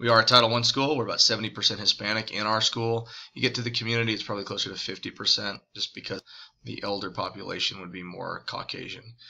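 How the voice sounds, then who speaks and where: Very fast speech in an American accent comes through with a bright, sharp tone and fairly even intonation. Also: man. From Texas, US South. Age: 30s. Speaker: high school English teacher. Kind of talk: recorded class introduction video.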